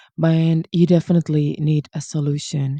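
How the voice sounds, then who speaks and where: A fairly slow voice with a non-native accent, in a very clean recording over a silent background. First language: not English. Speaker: language coach. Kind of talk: educational talk. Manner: relaxed, casual.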